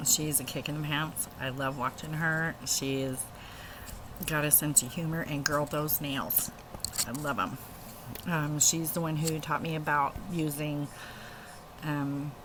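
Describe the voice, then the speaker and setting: A woman with a very deep, low pitch speaks at a fairly slow pace in a monotone, flat intonation, with long, frequent pauses, audible room echo and noticeable background noise. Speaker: video blogger. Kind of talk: casual vlog. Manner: halting, many fillers.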